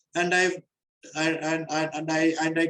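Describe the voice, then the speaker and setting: A man speaks at a fairly slow pace. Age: 60s. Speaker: interviewee with many hobbies. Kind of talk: interview. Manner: halting, with many fillers; passionate.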